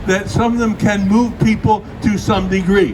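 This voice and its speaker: There is noticeable background noise as a man talks in a high-pitched voice. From Britain. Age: 80s+. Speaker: activist speaker. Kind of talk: speech at outdoor vigil.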